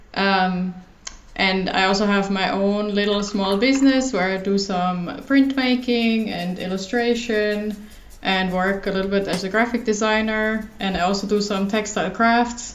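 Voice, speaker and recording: Audible room echo surrounds a woman speaking at a moderate pace with a German accent. Her medium-pitched voice has fairly even intonation. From Germany. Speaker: illustrator and designer. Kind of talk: casual chat. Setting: recording at home.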